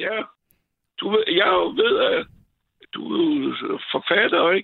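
A man talking at a fairly slow pace. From France. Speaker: caller, retired HR worker. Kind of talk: phone-in call. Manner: halting, many fillers.

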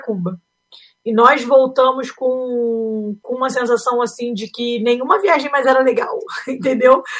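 Speaking at a fairly slow pace, a woman uses a high voice. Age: 30s. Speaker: aspiring missionary, family photographer. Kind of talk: interview.

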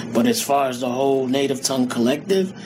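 Over noticeable background noise and audible room echo, a man talks at a fairly quick pace in a medium pitch with ordinary pitch variation. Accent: American. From Queens, New York. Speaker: rapper. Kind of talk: interview.

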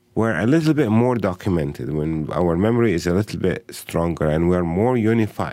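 A man with an Arabic accent speaks in a very deep, low voice. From Palestine (Bethlehem). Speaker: educator and human rights advocate. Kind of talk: interview. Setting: studio.

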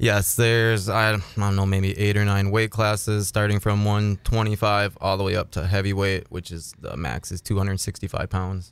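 A man with an Upper Midwest accent talks at a moderate pace with hardly any pauses. His intonation stays fairly even. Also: fairly low pitch for a man. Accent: Upper Midwest American. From Minnesota. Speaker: MMA fight promoter and former fighter. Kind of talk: casual interview.

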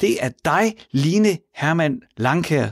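A man speaks at a high pitch with very wide pitch swings. The sound is dry and close with no echo, on a very clean recording with a silent background. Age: 40s. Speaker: radio host. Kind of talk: radio talk show. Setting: studio.

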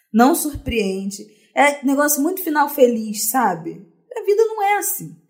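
A woman's high voice swings very widely in pitch as she talks at a fairly slow pace. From Rio de Janeiro, Brazil (Zona Norte). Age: 20s. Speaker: podcast guest. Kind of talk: casual chat.

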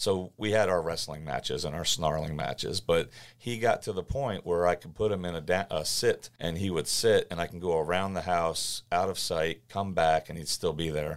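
A moderate pace with hardly any pauses and ordinary pitch variation, on a very clean recording with a silent background. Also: man, very deep, low pitch for a man. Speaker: consulting company president and dog owner. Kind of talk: casual interview chat.

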